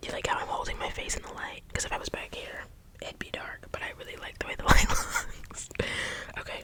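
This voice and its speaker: A woman whispers over noticeable background noise. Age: 20s. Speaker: ASMR creator and book reviewer. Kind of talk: casual chatty talk to camera. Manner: opinionated, exasperated, expressive.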